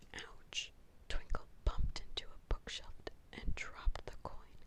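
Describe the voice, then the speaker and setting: A woman whispers at a moderate pace. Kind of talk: children's story reading. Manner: whispered.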